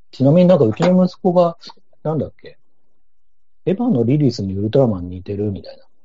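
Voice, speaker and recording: Speaking at a very fast pace broken by long, frequent pauses, a man with a somewhat breathy, fairly high voice shows very wide pitch swings and big swings in loudness. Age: 40s. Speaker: podcast guest, film fan. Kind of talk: casual chat.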